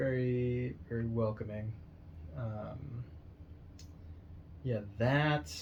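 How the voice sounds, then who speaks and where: With an American accent, a man talks at a very slow pace with long, frequent pauses, his medium-pitched voice carrying lively intonation in a room with audible echo. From Northern California. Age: 40s. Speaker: podcast guest. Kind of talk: casual chat.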